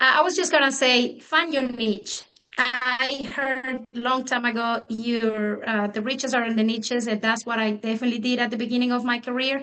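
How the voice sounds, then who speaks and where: A woman speaks with a Spanish accent at a moderate pace. Her high pitch stays in a fairly even intonation. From Mexico. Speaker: real estate agent. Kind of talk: panel discussion.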